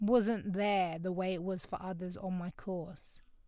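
In a very clean recording with a silent background, a woman with a London accent speaks at a moderate pace. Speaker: podcast host. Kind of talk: podcast monologue reflecting on a book chapter. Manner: casual, conversational.

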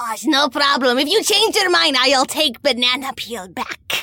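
High-pitched put-on character voice from a woman, moving at a moderate pace. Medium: actual play. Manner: broken third-person speech; odd, food-obsessed.

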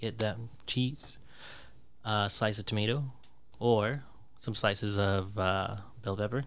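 Speaking with an American accent, a man talks at a fairly slow pace with long, frequent pauses. His pitch is fairly low and his intonation fairly even. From US Pacific Northwest. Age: 30s. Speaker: podcast guest, gamer friend of the hosts. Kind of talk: casual chat.

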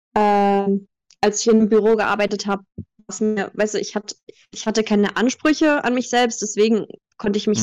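A woman of medium pitch keeps her intonation fairly even, talking at a moderate pace. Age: 20s. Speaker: voice actress. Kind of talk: interview.

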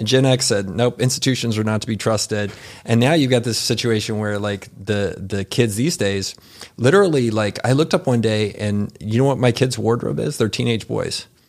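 At a moderate pace, a man talks in an ordinary speaking voice with ordinary pitch variation. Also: medium pitch for a man. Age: 40s. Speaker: entrepreneur. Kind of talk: casual chat.

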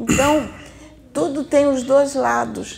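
A woman talks at a fairly slow pace. There is noticeable background noise behind her. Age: 60s. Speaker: spiritist medium. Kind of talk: spiritual teaching.

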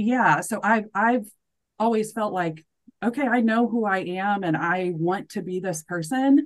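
Speaking at a fairly slow pace, a woman with an American accent uses a medium pitch and ordinary pitch variation. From US Midwest, central Missouri. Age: 30s. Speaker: nonprofit fundraiser. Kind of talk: casual interview chat.

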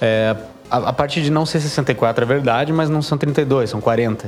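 Against noticeable background noise, a man speaks at a fairly slow pace and medium pitch with ordinary pitch variation. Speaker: game developer podcast co-host. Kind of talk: casual chat.

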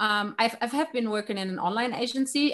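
A woman's lively intonation with a German accent. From Germany. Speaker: life coach. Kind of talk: interview. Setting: remote call.

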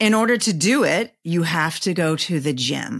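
An unremarkable speaking voice from a woman, fairly low in pitch with lively intonation, in a very clean recording with a silent background. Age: 50s. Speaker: personal trainer and podcaster. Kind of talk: casual interview chat.

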